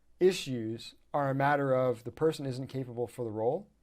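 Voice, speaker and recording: An animated man with a Canadian accent and a fairly high pitch. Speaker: dentist and practice coach. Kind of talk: presentation. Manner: fast.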